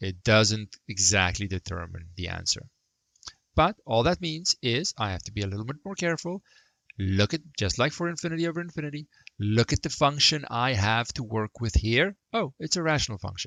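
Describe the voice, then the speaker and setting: Moving through very wide pitch swings around a medium pitch, a man talks at a moderate pace. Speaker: math lecturer. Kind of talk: lecture.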